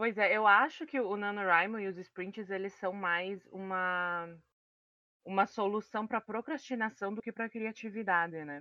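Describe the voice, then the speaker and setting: A woman in a southern Brazilian accent, medium pitch, ordinary pitch variation and a fairly slow pace. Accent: gaúcho Brazilian Portuguese. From Rio Grande do Sul. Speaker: podcast co-host. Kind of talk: interview.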